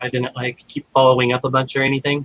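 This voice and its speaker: The man's pitch is fairly high. The sound is dry and close, with no echo. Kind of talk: casual chat. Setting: livestream video call. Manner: hesitant, many fillers.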